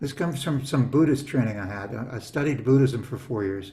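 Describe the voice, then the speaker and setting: A man talks at a moderate pace in a dark, mellow, somewhat breathy tone with lively intonation. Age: 60s. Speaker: business coach. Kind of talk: casual interview chat. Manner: animated.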